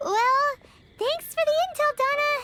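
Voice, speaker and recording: The voice is squeaky. It is a put-on character voice. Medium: video game. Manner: lively, chatty.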